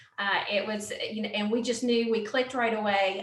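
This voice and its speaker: A woman with a Southern accent speaks amid audible room echo. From US South, western North Carolina mountains. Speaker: Air Force veteran, nonprofit founder. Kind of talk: interview.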